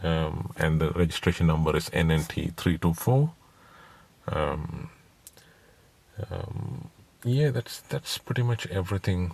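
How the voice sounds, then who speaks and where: A man with a non-native accent speaks at a fairly slow pace and a very deep, low pitch. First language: not English. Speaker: private car seller. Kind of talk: informal video walkthrough. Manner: halting, many fillers.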